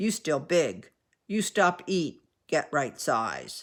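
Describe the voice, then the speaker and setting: Growling in a put-on character voice, a man speaks very slowly at a high pitch. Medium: read story. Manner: clipped, terse, gruff.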